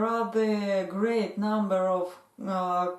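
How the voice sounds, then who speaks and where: A woman speaks in a flat monotone with a Russian accent, at a very slow pace. Noticeable background noise runs under her voice. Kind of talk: casual talk to camera. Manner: hesitant, many fillers.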